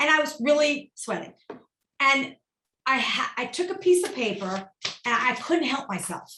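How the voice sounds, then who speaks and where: A woman with a high pitch and a bright, sharp tone projects her raised voice with very wide pitch swings and long, frequent pauses. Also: moderate pace. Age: 50s. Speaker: keynote speaker and company founder. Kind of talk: casual chat. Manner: animated.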